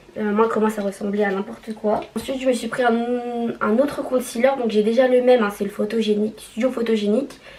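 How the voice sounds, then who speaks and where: At a moderate pace, a woman speaks at a fairly high pitch in a monotone, flat way, with noticeable background noise. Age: 20s. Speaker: nurse. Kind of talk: casual makeup haul talk to camera.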